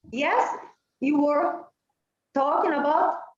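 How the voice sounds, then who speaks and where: A high-pitched woman's voice at a very slow pace, with audible room echo. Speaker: panel moderator. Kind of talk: academic video call discussion. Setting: video call. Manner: halting.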